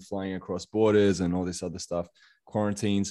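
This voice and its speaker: A fairly low-pitched man in an Australian accent at a very fast pace, over a quiet background. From Western Australia, Perth. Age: 30s. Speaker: motivational coach. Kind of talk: podcast interview.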